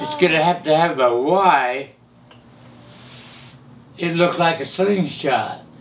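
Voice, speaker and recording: Speaking very slowly with long, frequent pauses, a man with an American accent talks at a high pitch against noticeable background noise. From California. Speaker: hot rod pioneer and camshaft maker. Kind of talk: interview answer.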